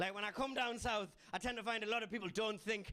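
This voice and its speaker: A man with a Geordie accent speaks in a raised, projected voice at a fairly quick pace. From northern England, Newcastle (Geordie). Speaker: comedian. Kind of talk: stand-up. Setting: stage with audience.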